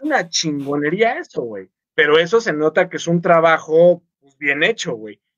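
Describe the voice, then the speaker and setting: The speech moves at a fairly slow pace, with lively intonation and big swings in loudness. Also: man, high pitch for a man. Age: 30s. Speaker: podcast co-host. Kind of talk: casual chat. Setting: live stream. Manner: animated.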